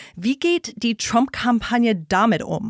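With an English accent, the speaker is heard in a very clean recording with a silent background and a dry, close sound with no echo. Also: woman. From US, New York State. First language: English (speaking German). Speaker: podcast host and interviewer. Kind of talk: political analysis chat. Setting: studio.

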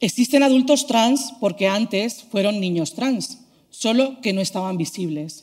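A woman with a plain, everyday voice speaks at a fairly slow pace, her fairly high pitch carried by lively intonation. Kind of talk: prepared talk.

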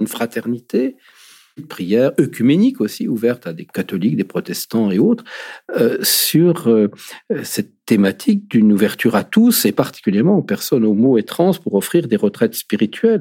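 A man speaks at a medium pitch with a dark, mellow tone, his voice swinging very widely in pitch. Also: dry, close sound with no echo. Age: 50s. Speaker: former seminarian, LGBT faith advocate. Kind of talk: testimony. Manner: halting.

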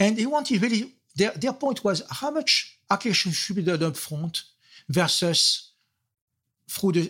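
A man's voice with very wide pitch swings at a moderate pace, on a very clean recording with a silent background. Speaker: software architect, consultant, author. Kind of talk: interview conversation.

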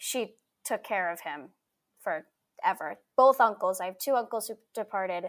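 A woman with an American accent speaks at a moderate pace in a fairly high voice, her lively intonation and big swings in loudness captured on a very clean recording with a silent background. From New York City (Staten Island). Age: 20s. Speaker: stage actress. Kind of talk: casual chat.

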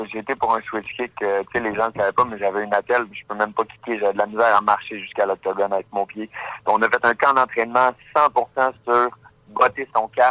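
In a dry, close recording with no echo, a man talks fairly quickly at medium pitch, his tone bright and sharp and his intonation monotone and flat. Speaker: professional MMA fighter. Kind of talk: radio interview.

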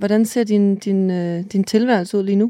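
Speaking at a fairly slow pace, a woman has a dark, mellow tone, medium pitch and ordinary pitch variation. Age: 30s. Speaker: podcast host. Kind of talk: interview.

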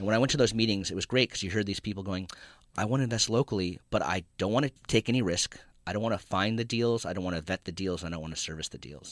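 In an American accent, a man speaks at a very fast pace with a fairly low pitch and ordinary pitch variation. The recording is very clean, with a silent background. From California, Santa Cruz. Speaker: nonprofit lending executive. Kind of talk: radio interview.

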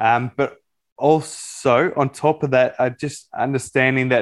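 Speaking with an Australian accent, a man holds a medium pitch and fairly even intonation against a quiet background. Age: 30s. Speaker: psychology student and life coach. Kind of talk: interview.

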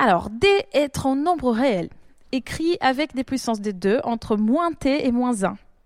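Her pitch high, a woman talks very slowly in a sing-song way with lively intonation. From Brazil. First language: Portuguese (speaking French). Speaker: doctoral student in probability. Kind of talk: casual chat. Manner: sing-song intonation.

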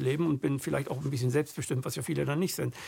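A man's fairly high-pitched voice with vocal fry and fairly even intonation. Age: 50s. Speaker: podcast host. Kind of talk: interview.

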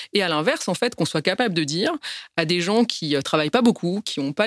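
A woman at a fairly low pitch with lively intonation and a fairly quick pace, on a very clean recording with a silent background. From France, Paris. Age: 30s. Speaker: business executive. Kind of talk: testimony. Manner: halting.

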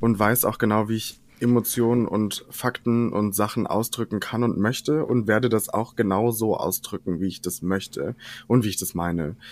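With a plain, everyday voice, a man speaks at a moderate pace and medium pitch with fairly even intonation. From western Germany, Ahrweiler area. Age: 20s. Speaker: drag queen and singer. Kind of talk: casual chat.

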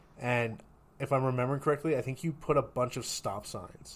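A man speaks at a medium pitch and a moderate pace in an ordinary speaking voice. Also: big swings in loudness. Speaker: recent psychology graduate and podcast co-host. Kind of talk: casual chat.

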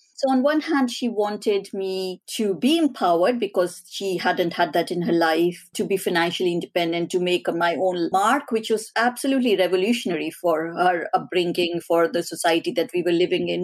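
Woman in a normal speaking voice at a fairly quick pace, with ordinary pitch variation and hardly any pauses. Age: 40s. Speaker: behavioural and data scientist, author. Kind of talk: interview.

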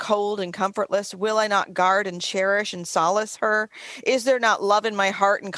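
This unforced reading voice keeps its intonation fairly even throughout.

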